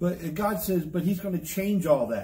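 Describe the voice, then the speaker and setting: At a moderate pace, a man with a high pitch and a dark, mellow tone speaks with fairly even intonation. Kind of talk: bible study lecture. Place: office.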